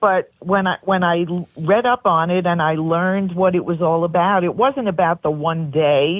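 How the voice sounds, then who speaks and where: A woman speaks with a Brooklyn accent. Her pitch is fairly low. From New York, Brooklyn. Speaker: pageant director. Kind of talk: radio interview.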